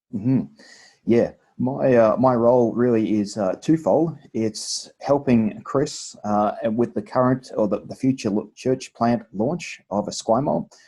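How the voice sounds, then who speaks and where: Heard against a quiet background, the voice has a dark, mellow tone. It carries an Australian accent and ordinary pitch variation. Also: man. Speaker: church multiplication pastor. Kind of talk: video interview.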